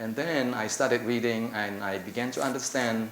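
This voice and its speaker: A man with an Indonesian accent speaks in fairly even intonation, with audible room echo and noticeable background noise. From Indonesia (Java). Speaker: applied linguistics academic. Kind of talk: conference presentation. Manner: halting, with fillers and repetitions.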